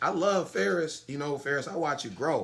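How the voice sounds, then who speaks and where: This man's voice is bright and sharp, moving at a fairly quick pace with ordinary pitch variation. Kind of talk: casual chat. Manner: fast.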